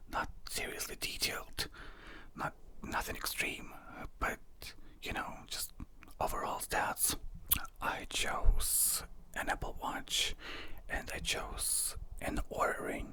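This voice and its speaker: The voice is whispering at a very slow pace. Long, frequent pauses break it up. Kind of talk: casual talk to camera, personal product review. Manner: whispered, conversational.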